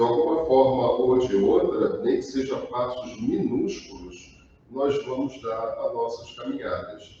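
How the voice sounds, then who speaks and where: Noticeable background noise surrounds a man who talks at a very slow pace. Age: 70s. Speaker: spiritist lecturer. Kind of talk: religious talk. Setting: online live stream.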